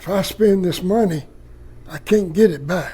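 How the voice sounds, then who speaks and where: A man speaks very slowly in a high voice with ordinary pitch variation. Room echo is audible. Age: 70s. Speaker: pastor. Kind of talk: casual video tour. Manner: animated.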